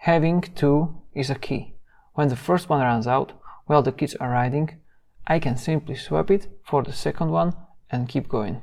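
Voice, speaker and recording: The recording is very clean with a silent background, and a man with a non-native accent speaks at a moderate pace. His pitch is fairly high and varies in an ordinary way. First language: not English. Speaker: DIY youtuber. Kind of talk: tutorial.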